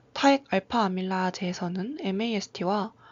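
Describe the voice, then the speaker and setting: Somewhat breathy at a moderate pace, a woman speaks at medium pitch with ordinary pitch variation. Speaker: graduate student researcher. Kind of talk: academic presentation. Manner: formal; halting.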